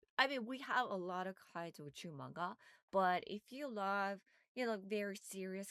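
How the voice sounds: The sound is dry and close, with no echo. A woman talks at a moderate pace with lively intonation and a fairly bright tone.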